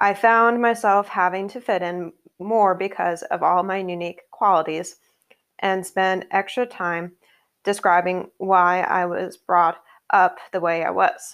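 A woman with an ordinary speaking voice, medium pitch, fairly even intonation and a fairly slow pace, against a quiet background. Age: 20s. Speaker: podcast host. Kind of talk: solo podcast monologue.

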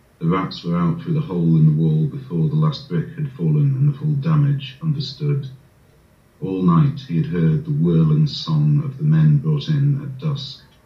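Against noticeable background noise, a man talks at a moderate pace and medium pitch with very wide pitch swings. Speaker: poet. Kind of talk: poem read over Zoom. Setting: video call.

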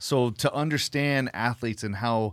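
Heard on a very clean recording with a silent background, a man with an American accent speaks with ordinary pitch variation. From Southern California (Whittier area). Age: 40s. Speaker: cinematographer. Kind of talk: casual chat.

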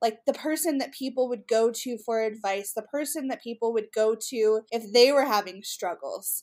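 A woman's normal speaking voice, fairly high-pitched, with ordinary pitch variation, a moderate pace and hardly any pauses, on a very clean recording with a silent background. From US West, Utah. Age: 30s. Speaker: women's ministry leader. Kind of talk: interview conversation.

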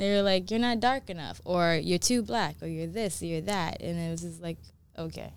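In a New York accent, a woman speaks at a moderate pace. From US Northeast, New York City (Bronx, Brooklyn). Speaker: model, sous chef and mindfulness practitioner. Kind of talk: casual interview conversation. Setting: studio.

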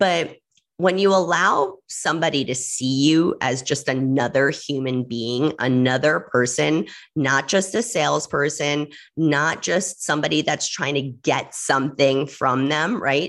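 A woman's very deep, low voice with an American accent, ordinary pitch variation and a fairly slow pace. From New York. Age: 40s. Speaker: podcast host. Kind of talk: solo podcast talk. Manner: chatty.

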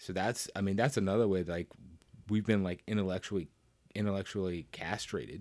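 Speaking fairly quickly in a Southern US accent, a man with a fairly low pitch keeps his intonation fairly even on a very clean recording with a silent background. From US South. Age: 40s. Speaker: podcast guest, coworker of host. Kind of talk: casual chat.

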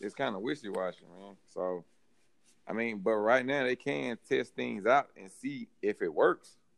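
A man speaks in a Southern US accent at medium pitch. The sound is dry and close with no echo. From Mississippi. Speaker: sports podcast panelist. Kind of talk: casual chat.

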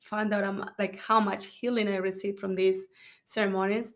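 In a Spanish accent, a woman speaks at a medium pitch with monotone, flat intonation. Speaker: church founder, podcast host.

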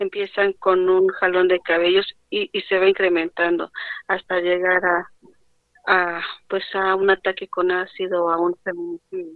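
Flat and monotone, a woman speaks at a fairly slow pace with a medium pitch. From Mexico City, Xochimilco. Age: 30s. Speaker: acid attack survivor and farmer. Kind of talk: interview. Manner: halting.

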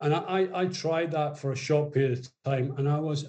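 Speaking at a moderate pace in a Scottish accent, a man has a fairly high, somewhat breathy voice with a dark, mellow tone. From Scotland, Borders (Melrose). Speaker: rugby academy director, former player. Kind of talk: interview. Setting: video call.

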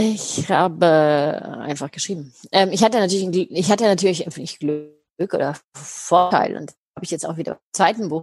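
The speech moves at a moderate pace with ordinary pitch variation. Its loudness swings widely. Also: woman, fairly low pitch for a woman. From Germany, Heidelberg. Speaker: happiness researcher and speaker. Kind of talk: interview.

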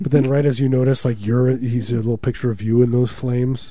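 A man talks at a fairly quick pace in a medium pitch. His tone is dark and mellow, with fairly even intonation. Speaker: radio host. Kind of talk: casual radio banter. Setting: radio studio. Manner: joking, rambling.

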